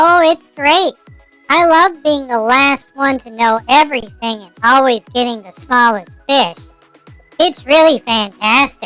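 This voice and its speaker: A female-sounding put-on character voice with high pitch moves at a fairly slow pace while faint music plays in the background. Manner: sarcastic.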